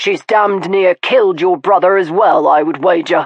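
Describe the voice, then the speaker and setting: A put-on, growling character voice at a middle pitch and a moderate pace. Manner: stern, grave.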